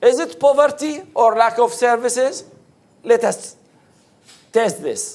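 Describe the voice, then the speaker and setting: The speaker talks at a fairly slow pace in an Arabic accent, with ordinary pitch variation. There are long, frequent pauses. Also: man, extremely high pitch for a man. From Iraq. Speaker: pollster and academic researcher. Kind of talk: presentation. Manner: halting.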